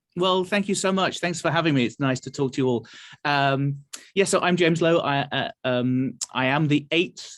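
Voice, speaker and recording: In a very clean recording with a silent background, a man with an English accent talks at a fairly quick pace and ordinary pitch variation. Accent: English accent, noticeable. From England, Nottingham. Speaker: orchestra conductor.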